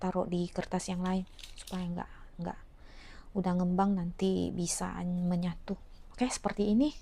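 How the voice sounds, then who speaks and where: The intonation stays fairly even at a moderate pace. Long pauses come often. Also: woman, medium pitch for a woman. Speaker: home cooking vlogger. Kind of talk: cooking tutorial. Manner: casual, halting.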